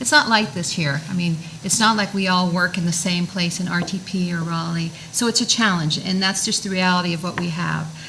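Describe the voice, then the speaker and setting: Over noticeable background noise, a woman with a fairly low pitch talks at a fairly quick pace with hardly any pauses and ordinary pitch variation. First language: French. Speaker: town council candidate. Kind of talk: candidate forum answer. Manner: halting.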